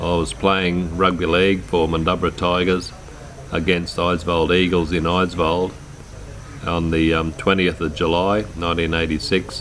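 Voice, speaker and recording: In a rural Australian accent, the voice moves at a moderate pace with monotone, flat intonation, amid audible room echo and noticeable background noise. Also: man, very deep, low pitch for a man. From rural Queensland, Australia. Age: 60s. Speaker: quadriplegic man telling his life story. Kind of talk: personal life story narration. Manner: hesitant, many fillers.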